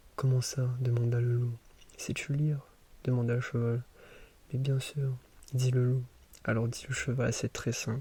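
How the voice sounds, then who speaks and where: The speaker is soft-spoken and somewhat breathy, with a dark, mellow tone and monotone, flat intonation. Delivery is fairly slow and very even in loudness, with long, frequent pauses. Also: man, medium pitch for a man. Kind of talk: sleep story reading.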